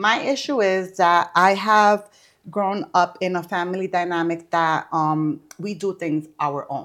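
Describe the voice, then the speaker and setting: A woman speaks in a normal speaking voice at a medium pitch and a fairly slow pace. Her pitch varies in an ordinary way, on a very clean recording with a silent background. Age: 30s. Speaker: florist and event planner. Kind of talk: casual interview.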